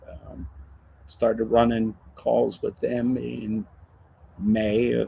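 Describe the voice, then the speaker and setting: Very slow speech from a man with an American accent. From Maryland, Montgomery County (Rockville). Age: 60s. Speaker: retired fire captain. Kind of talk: casual interview chat.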